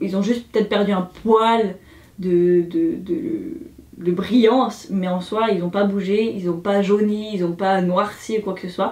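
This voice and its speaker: With an ordinary speaking voice, a woman of medium pitch talks fairly slowly with ordinary pitch variation. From Switzerland. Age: 20s. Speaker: beauty YouTuber. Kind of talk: casual review talk to camera.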